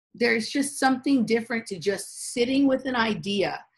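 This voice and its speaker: Speaking at a moderate pace, a woman sounds somewhat breathy, with lively intonation. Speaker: podcast co-host. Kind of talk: casual chat.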